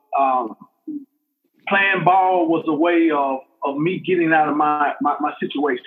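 With an Alabama accent, a man speaks using ordinary pitch variation. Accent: Southern US (Alabama). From US South, Montgomery, Alabama. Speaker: football coach. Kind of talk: testimony. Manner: halting, many fillers and repetitions.

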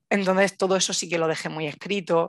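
Recorded with a dry, close sound with no echo and a quiet background, a woman speaks with ordinary pitch variation. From Spain, Murcia. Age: 30s. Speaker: new mother sharing birth story. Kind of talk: personal testimony interview. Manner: animated.

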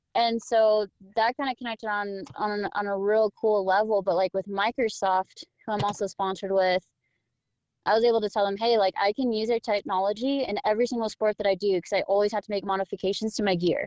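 At a very fast pace, a woman speaks at medium pitch with fairly even intonation. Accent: American. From Southern California. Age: 20s. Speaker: adaptive athlete. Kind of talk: casual chat.

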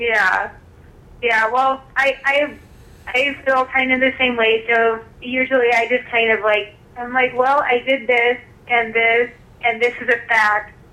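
Noticeable background noise sits behind a woman with a high pitch. She speaks fairly slowly in a monotone, flat intonation. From rural area. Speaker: author. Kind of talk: casual interview. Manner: hesitant, many fillers.

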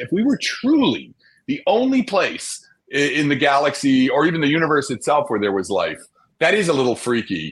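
A man with an American accent speaks at a fairly high pitch, with vocal fry and very wide swings in pitch. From New Jersey, New York City area. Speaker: astrophysicist. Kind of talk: interview. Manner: animated.

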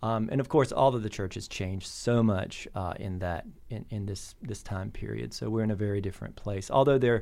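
The speaker has a plain, everyday voice with an American accent, a fairly quick pace and ordinary pitch variation. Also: man. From US South. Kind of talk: casual interview.

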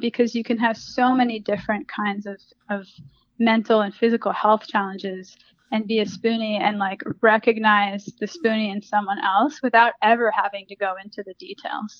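Speaking with an American accent at a moderate pace, a woman has a fairly high pitch, fairly even intonation and big swings in loudness. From US, Washington D.C. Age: 30s. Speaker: healing coach and yoga teacher. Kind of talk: interview. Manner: hesitant, many fillers.

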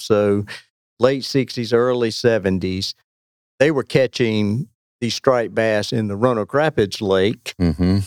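Fairly even intonation in a North Carolina accent, with a dry, close sound and no echo. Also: man. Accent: North Carolina Southern US. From North Carolina, Weldon. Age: 60s. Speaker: longtime angler. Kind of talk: casual chat.

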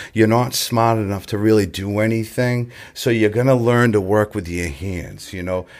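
A man with an American accent and a normal speaking voice, fairly low in pitch, at a moderate pace with ordinary pitch variation, on a very clean recording with a silent background. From Massachusetts, south of Boston. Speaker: recovering alcoholic sharing his story. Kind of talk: recovery testimony in casual podcast chat. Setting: recovery center.

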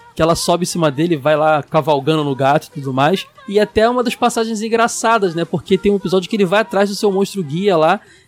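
A man's high-pitched voice, very fast and lively in intonation with hardly any pauses, over noticeable background noise. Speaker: podcast host. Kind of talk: casual chat. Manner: animated.

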